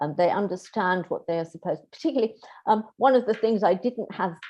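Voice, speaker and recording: Lively intonation in a British accent at a fairly quick pace. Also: woman. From Britain. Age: 60s. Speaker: keynote speaker, medieval scholar. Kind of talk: Q&A after a lecture. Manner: hesitant, many fillers.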